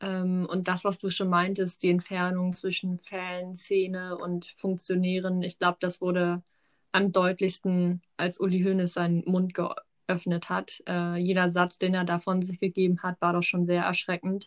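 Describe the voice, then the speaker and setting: In a dry, close recording with no echo and a quiet background, a woman of medium pitch speaks at a fairly slow pace with a monotone, flat intonation and hardly any pauses. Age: 20s. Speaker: podcast co-host. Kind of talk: casual chat.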